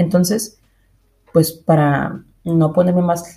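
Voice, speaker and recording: In a dark, mellow tone, a woman with a fairly low pitch talks at a very slow pace and sounds somewhat breathy. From Mexico, Monterrey. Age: 20s. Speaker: podcast host, illustrator. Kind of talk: casual monologue.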